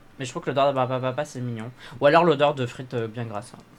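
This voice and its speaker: A man's medium-pitched voice at a very fast pace, with noticeable background noise. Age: young. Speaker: podcast co-host, drag performer. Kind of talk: casual chat.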